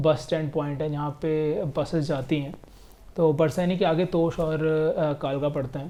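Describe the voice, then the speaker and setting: Fairly even intonation from a man with a fairly high-pitched voice. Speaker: travel vlogger. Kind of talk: casual vlog narration. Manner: monotone.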